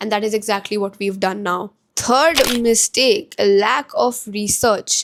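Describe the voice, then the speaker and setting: With an Indian accent, a woman speaks at a fairly slow pace and fairly high pitch, with ordinary pitch variation. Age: 20s. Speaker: entrepreneur. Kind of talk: casual talk to camera.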